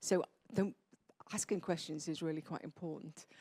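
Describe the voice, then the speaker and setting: A moderate pace with fairly even intonation. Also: woman. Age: 60s. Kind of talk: panel discussion.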